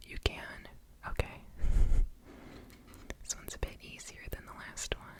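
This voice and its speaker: Whispering at a moderate pace with long, frequent pauses, the voice comes over noticeable background noise. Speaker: ASMR creator. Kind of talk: ASMR personal attention roleplay. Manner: whispered, soft-spoken.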